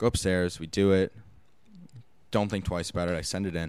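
A man speaks at a fairly quick pace in a very deep, low pitch. The recording is very clean, with a silent background. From Los Angeles. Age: 20s. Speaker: actor and producer. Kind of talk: casual interview chat. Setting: studio.

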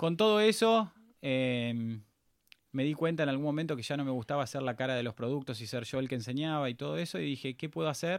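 Over a very clean recording with a silent background, a man with a Rioplatense accent speaks at a fairly quick pace with lively intonation. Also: medium pitch for a man. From Argentina, Pilar, Buenos Aires province. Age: 30s. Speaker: entrepreneur. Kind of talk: interview.

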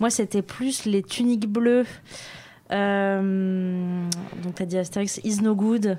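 A woman's medium-pitched, dark, mellow voice at a very slow pace, fairly even in intonation, with long, frequent pauses. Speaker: podcast co-host. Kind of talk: casual chat.

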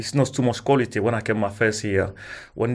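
A man with a French-African accent speaks at a fairly quick pace and fairly low pitch on a very clean recording with a silent background. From France. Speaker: former professional footballer. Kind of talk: casual chat. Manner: halting.

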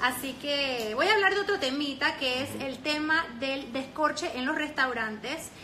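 A woman projects a raised voice at a high pitch, at a fairly slow pace with hardly any pauses. Noticeable background noise and audible room echo fill the recording. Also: ordinary pitch variation. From France. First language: French (speaking Spanish). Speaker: sommelier and live-stream host. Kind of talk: casual interview.

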